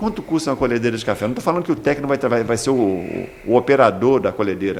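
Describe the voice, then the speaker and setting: This man talks very fast in a fairly high pitch. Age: 60s. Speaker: agricultural school director. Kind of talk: interview. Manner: halting, many repetitions.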